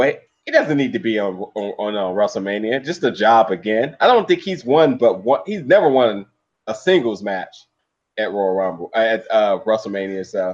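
A man with an ordinary speaking voice talks at a medium pitch and a moderate pace with lively intonation. The background is quiet. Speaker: podcast co-host. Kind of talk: casual chat.

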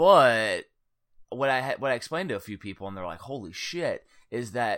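A man with an American accent and medium pitch talks at a fairly quick pace with vocal fry, on a very clean recording with a silent background. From Northwest Indiana (Cedar Lake). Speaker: podcast host, gaming book author. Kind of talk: casual chat.

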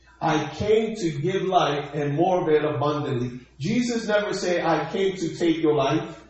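Over noticeable background noise, a man with a high voice speaks at a fairly slow pace with ordinary pitch variation. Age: 40s. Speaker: pastor. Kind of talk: sermon. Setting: church livestream.

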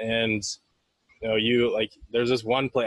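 In a Canadian accent, a man with an unremarkable speaking voice talks at a fairly quick pace and medium pitch. His intonation is fairly even, and the sound is dry and close with no echo. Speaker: podcast host. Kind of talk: trivia quiz; casual interview. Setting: in person.

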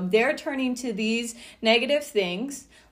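The speech moves at a fairly slow pace with lively intonation, and audible room echo surrounds it. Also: woman. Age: 30s. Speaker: mindset coach and podcast host. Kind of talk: solo podcast monologue.

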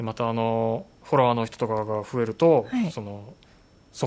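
Medium pitch and ordinary pitch variation from a man in an ordinary speaking voice. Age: middle-aged. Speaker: photographer and podcast host. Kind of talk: casual chat.

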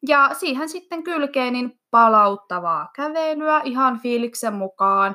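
A very slow woman's voice, high-pitched, bright and sharp in tone, with very wide pitch swings on a very clean recording with a silent background. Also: hardly any pauses. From Finland, Iisalmi (Savo). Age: 20s. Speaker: fitness athlete and cheerleading coach. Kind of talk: interview.

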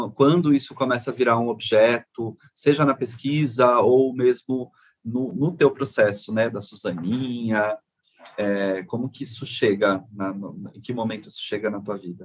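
A man with an unremarkable speaking voice, medium pitch, ordinary pitch variation, a fairly slow pace and big swings in loudness. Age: 40s. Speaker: podcast host. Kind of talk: casual interview chat.

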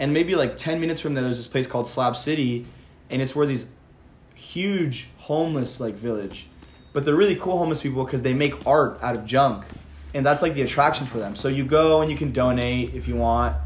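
With audible room echo, a man in an American accent speaks at a fairly quick pace, medium pitch and ordinary pitch variation. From Palm Springs, California. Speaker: college student guest. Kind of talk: casual chat.

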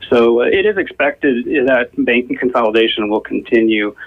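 Noticeable background noise sits under this recording. A man speaks at a fairly quick pace. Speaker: bank finance executive. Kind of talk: radio interview. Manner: halting.

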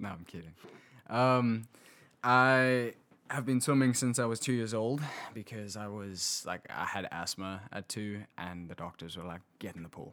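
A man with a South African accent speaks at a fairly slow pace in a fairly low pitch, his bright, sharp tone showing ordinary pitch variation and big swings in loudness on a very clean recording with a silent background. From South Africa, Hillcrest near Pietermaritzburg. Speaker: guest, South African visiting the US. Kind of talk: casual interview conversation.

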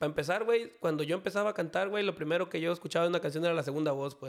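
A man speaks at a high pitch. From Mexico, Jalisco. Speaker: banda singer. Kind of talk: casual chat.

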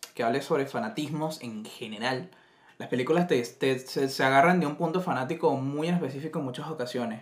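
Against noticeable background noise, a man with a fairly high pitch talks very fast with lively intonation. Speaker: podcast co-host. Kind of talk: casual chat.

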